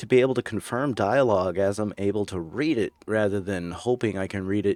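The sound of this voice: Reading in an unforced voice, the speaker shows ordinary variation in pitch.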